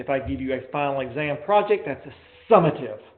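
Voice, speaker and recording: There is audible room echo around a man with a fairly high pitch. His intonation is lively. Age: 40s. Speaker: college professor. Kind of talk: lecture. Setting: classroom, live streamed and recorded. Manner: fast; mumbling.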